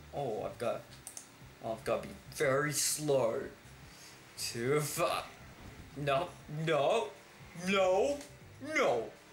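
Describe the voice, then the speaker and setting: Music plays in the background while a man speaks very slowly with audible room echo. He takes long, frequent pauses. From Australia. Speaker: gaming YouTuber. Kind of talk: gameplay commentary. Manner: animated, frequent laughter.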